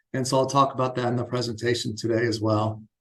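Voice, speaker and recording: A man's medium-pitched, somewhat breathy voice at a very fast pace, with fairly even intonation. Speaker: architect. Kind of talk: lecture. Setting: university lecture room. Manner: casual, with frequent fillers.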